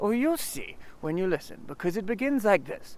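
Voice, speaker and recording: Here a man performs in a put-on character voice. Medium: read story. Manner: simple, good-natured.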